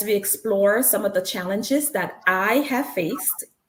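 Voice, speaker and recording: A woman with a Congolese accent speaks at a fairly slow pace with lively intonation. Audible room echo surrounds her voice. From Congo (Zaire), Central Africa. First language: Lingala. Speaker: nurse and author, speaker. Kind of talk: motivational talk. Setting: stage with live stream audience.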